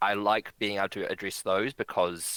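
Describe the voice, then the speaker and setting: Fairly low in pitch, a man with a New Zealand accent speaks at a moderate pace in a bright, sharp tone. The recording is very clean and dry, close with no echo and a silent background. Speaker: bridge director and player. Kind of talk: casual interview chat.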